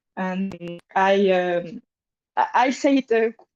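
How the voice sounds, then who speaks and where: A woman with a French accent speaks at a medium pitch, with a dry, close sound with no echo and a quiet background. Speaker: support group participant. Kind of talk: casual chat. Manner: halting, many fillers.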